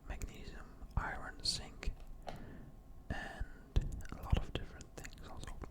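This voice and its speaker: Noticeable background noise fills the space. Through it, a man whispers very slowly. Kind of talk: ASMR role-play, gym bro supplement shop advice. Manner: casual, explanatory, hesitant with filler words.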